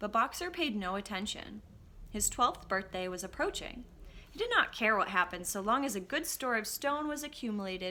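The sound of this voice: The unforced reading voice carries lively intonation throughout.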